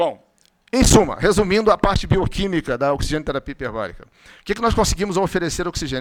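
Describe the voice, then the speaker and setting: Pitched high, a man talks at a very fast pace. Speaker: physician lecturer. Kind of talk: conference lecture.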